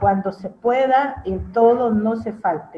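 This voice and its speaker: A very slow woman's voice with fairly even intonation. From Peru. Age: 70s. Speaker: pastor. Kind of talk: testimony.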